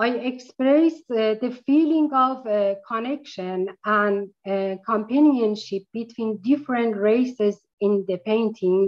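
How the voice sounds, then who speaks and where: With a Persian accent, the speaker talks at a very slow pace with ordinary pitch variation over a quiet background. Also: woman, fairly high pitch for a woman. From Iran. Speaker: painter. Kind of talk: online artist talk. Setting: video call. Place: home room. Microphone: video call.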